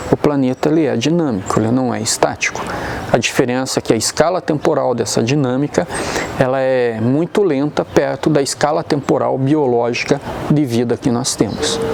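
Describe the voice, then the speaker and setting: Against noticeable background noise, a man talks at a medium pitch and a moderate pace with ordinary pitch variation. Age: 60s. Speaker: geologist. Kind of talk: expert explanation.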